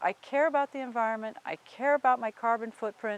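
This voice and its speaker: A woman speaks in a dry, close recording with no echo. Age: 50s. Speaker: driver, hypermiler. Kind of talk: interview.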